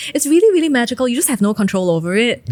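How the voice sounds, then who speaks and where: Against noticeable background noise, a high-pitched woman speaks with very wide pitch swings. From Singapore. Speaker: singer-songwriter. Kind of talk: interview answer.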